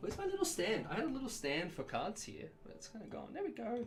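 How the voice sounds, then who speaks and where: The speech goes very fast. Noticeable background noise runs underneath. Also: man. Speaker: streamer opening trading cards. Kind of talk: casual live stream chat. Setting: home live stream.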